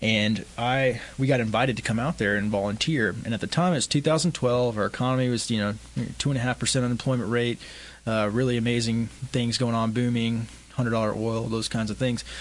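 A man with a West Texas accent at a moderate pace, with very even loudness and fairly even intonation. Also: medium pitch for a man. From West Texas (Midland). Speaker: homeless outreach organization founder. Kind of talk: interview.

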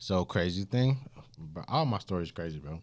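A man with an American accent speaks at a moderate pace, and his intonation is lively. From US South, Augusta, Georgia. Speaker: music producer. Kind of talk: casual interview chat.

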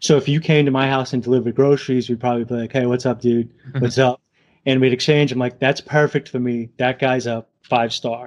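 A man speaks at a fairly quick pace with a New England accent. His voice sits at a medium pitch, and his intonation is fairly even. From New England, southern Massachusetts / Rhode Island. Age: 40s. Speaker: gig worker and YouTuber. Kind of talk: casual interview.

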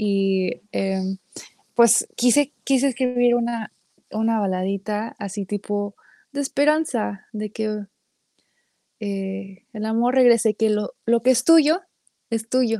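In a very clean recording with a silent background, a woman speaks at a very slow pace. Her fairly high voice has a dark, mellow tone. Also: dry, close sound with no echo. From Mexican-American, raised bilingual. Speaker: singer-songwriter. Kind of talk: casual interview chat.

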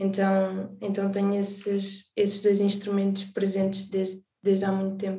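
A woman's somewhat breathy, dark, mellow voice at medium pitch, monotone and flat, fairly slow with hardly any pauses. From Alentejo, Portugal (born in the Azores). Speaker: singer and songwriter. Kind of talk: interview.

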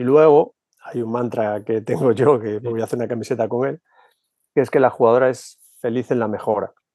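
A man talks at a moderate pace in a dark, mellow tone at medium pitch. The sound is dry and close, with no echo. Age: 50s. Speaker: basketball coach. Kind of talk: casual chat.

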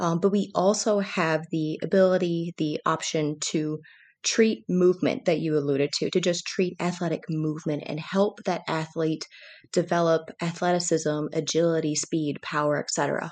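Against a quiet background, a woman speaks in a normal speaking voice with an American accent. Her pitch is fairly low, her intonation fairly even, and her pace moderate. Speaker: sports physical therapist. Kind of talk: casual interview chat.

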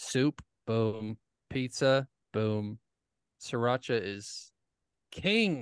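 Over a quiet background and in a dry, close sound with no echo, a man speaks very slowly at a medium pitch with ordinary pitch variation and long, frequent pauses. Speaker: podcast co-host. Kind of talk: casual chat.

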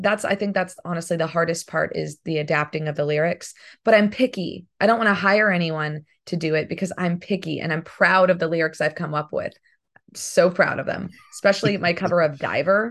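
Over a quiet background, a woman speaks at a fairly quick pace. Her pitch is fairly low, with ordinary pitch variation. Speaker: voice actress and singer. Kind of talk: casual interview.

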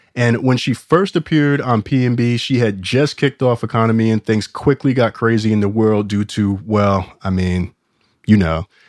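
Against a quiet background, a man speaks at a moderate pace and medium pitch with ordinary pitch variation, the sound dry and close with no echo. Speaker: podcast host. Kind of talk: casual chat.

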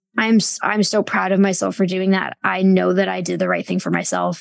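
On a very clean recording with a silent background, there is a woman talking. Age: 30s. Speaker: author and sex and culture critic. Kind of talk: casual interview conversation.

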